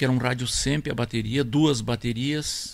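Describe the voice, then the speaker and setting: A man with a southern Brazilian accent at a medium pitch and a fairly slow pace. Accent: gaúcho Brazilian Portuguese. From Rio Grande do Sul, Brazil (near Tupanciretã). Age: 70s. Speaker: accordion player and record label founder. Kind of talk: casual interview.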